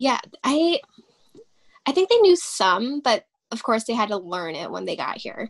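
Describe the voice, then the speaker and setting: A high-pitched woman with an American accent at a moderate pace, with long, frequent pauses and big swings in loudness. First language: Vietnamese. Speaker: interviewee. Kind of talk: interview. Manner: halting, many fillers.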